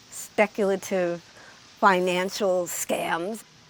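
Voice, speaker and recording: A woman speaks at a medium pitch with fairly even intonation. Background noise is noticeable. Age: 50s. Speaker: contortion performer. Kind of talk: documentary interview.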